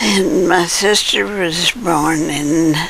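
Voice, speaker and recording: A woman with an American accent speaks at a fairly low pitch over noticeable background noise. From US Midwest, southern Illinois. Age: 80s+. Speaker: elderly interviewee recounting life story. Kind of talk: oral history interview. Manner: halting, with false starts.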